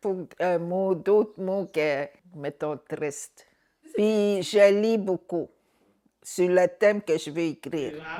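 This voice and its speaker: A woman's dark, mellow voice at a fairly low pitch, very slow pace, ordinary pitch variation and long, frequent pauses. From Anicinabe (Algonquin) community, Quebec. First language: Algonquin (Anicinabemowin) (speaking French). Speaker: author. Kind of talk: interview testimony. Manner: halting.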